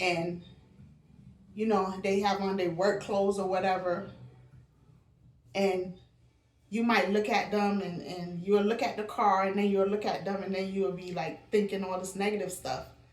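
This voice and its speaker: Her medium-pitched voice stays monotone and flat as this woman talks at a moderate pace, leaving long, frequent pauses, with audible echo from the room. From Barbados. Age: 60s. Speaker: lifestyle vlogger. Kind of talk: casual monologue.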